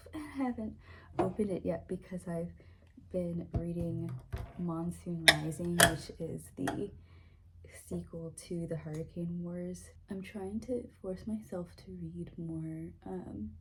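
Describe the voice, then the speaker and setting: Quiet and very slow, a woman with an American accent talks with long, frequent pauses. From US South, Florida. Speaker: vlogger. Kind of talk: casual vlog talk to camera. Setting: at home, getting ready in the morning.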